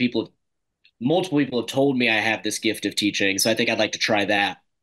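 A man with an American accent at a fairly quick pace, ordinary pitch variation, over a quiet background. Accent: ambiguous southern. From US South, Mississippi (suburb of Jackson); Mississippi. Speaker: classical school teacher and grad student; classical school teacher. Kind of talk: casual interview chat. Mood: relaxed, conversational. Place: home room. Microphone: webcam.

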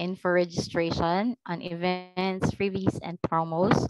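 An unremarkable speaking voice moves at a fairly slow pace, with a dry sound with no echo over a quiet background. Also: woman. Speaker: virtual assistant. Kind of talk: job interview. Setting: video call. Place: home room. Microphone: headset.

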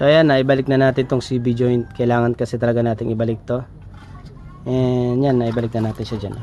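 There is noticeable background noise. A man talks at a fairly quick pace in a monotone, flat delivery. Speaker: DIY auto repair vlogger. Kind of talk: tutorial. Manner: casual, conversational.

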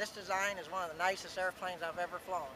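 A man speaks in a raised, projected voice, high in pitch, at a moderate pace. The sound is dry with no echo, and background noise is noticeable. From US Midwest. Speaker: amateur aircraft builder and pilot. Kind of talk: testimonial. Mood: cheerful, enthusiastic. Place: open country.

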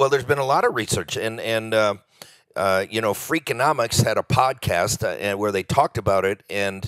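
Recorded with a dry, close sound with no echo, a man uses a normal speaking voice at medium pitch with ordinary pitch variation. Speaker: economist, author and speaker. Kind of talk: podcast interview.

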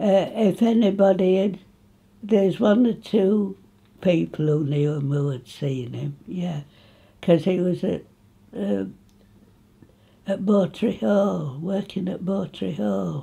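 This voice, in an East Midlands accent, is dark and mellow, somewhat breathy, and lively in intonation. It moves at a very slow pace with long, frequent pauses. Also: woman. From England, Nottinghamshire (Retford); Nottinghamshire, England. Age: 80s+. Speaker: local elder reminiscing. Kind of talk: oral history interview. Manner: halting. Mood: cheerful, reminiscing. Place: home room.

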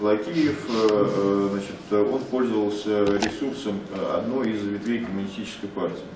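A man speaks at a moderate pace with a fairly low pitch and ordinary pitch variation, over noticeable background noise and audible room echo. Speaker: activist. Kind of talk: panel debate. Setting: microphone in meeting room. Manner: halting, frequent filler words. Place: meeting room. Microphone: podium.

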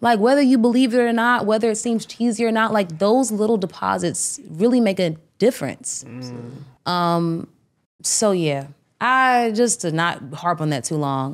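With an American accent, a woman speaks at a medium pitch and a moderate pace. Her pitch swings very widely. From Maryland, PG County. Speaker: R&B singer. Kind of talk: casual interview chat.

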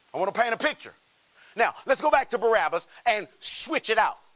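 A man speaks in a raised, projected voice with a bright, sharp tone. The background is quiet. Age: 30s. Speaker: pastor. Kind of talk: sermon.

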